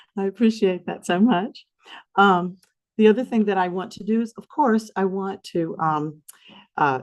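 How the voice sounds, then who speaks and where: The intonation is lively, in a Southern US accent. The background stays quiet. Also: woman. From US South. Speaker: foundation representative hosting a symposium. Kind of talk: event opening remarks. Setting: conference room with audience, also streamed. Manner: gentle.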